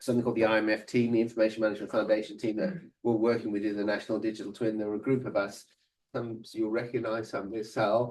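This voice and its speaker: Speaking at a very fast pace, a man with an English accent keeps a medium pitch and fairly even intonation. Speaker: ontology researcher giving a guest lecture. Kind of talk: lecture. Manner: halting, many fillers and restarts.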